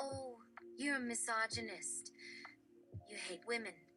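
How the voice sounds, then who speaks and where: A woman's put-on character voice at a fairly slow pace, with clear music in the background. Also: medium pitch for a woman. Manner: mocking.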